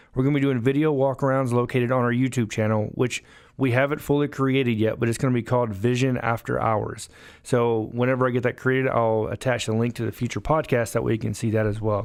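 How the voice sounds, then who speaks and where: A man with a Southern US accent at a very fast pace, medium pitch and monotone, flat intonation, on a very clean recording with a silent background. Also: very even loudness. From US South, Alabama. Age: 30s. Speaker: car salesman and podcast host. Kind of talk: podcast monologue.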